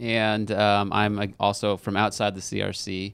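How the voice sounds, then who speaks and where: A man with an American accent speaks at a fairly slow pace and fairly low pitch, in an ordinary speaking voice. The recording is very clean, with a silent background. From California Central Valley. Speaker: pastor. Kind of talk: casual chat.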